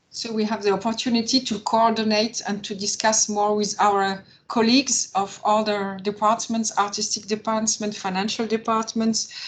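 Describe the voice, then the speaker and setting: With a fairly high pitch and a somewhat breathy quality, a woman speaks at a moderate pace in a flat monotone, hardly pausing at all. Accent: French. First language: French. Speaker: opera marketing manager. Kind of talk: webinar panel discussion. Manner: halting.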